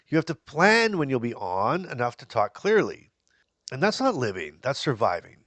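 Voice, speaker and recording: A man with a fairly high pitch and vocal fry speaks at a moderate pace against a quiet background. His pitch swings very widely, and his loudness swings a lot. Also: dry, close sound with no echo. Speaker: Parkinson's patient and health channel host. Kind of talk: casual talk to camera.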